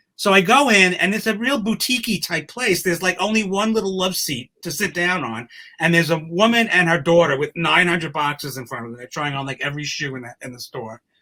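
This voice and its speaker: A man with a New York accent talks very fast, with hardly any pauses. His bright, sharp, high voice swings very widely in pitch. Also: big swings in loudness. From New York City, Queens. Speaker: humor columnist. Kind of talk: casual chat.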